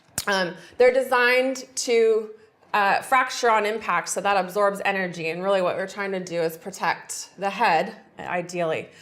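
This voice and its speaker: With an American accent, an ordinary speaking voice keeps a moderate pace and ordinary pitch variation. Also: woman, medium pitch for a woman. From US West Coast, San Francisco. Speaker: forensic engineer, expert witness. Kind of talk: TV interview.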